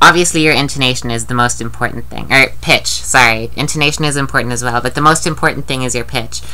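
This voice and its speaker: Noticeable background noise sits behind a woman speaking. She goes very fast with hardly any pauses. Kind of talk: casual talk to camera. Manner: hesitant, rambling.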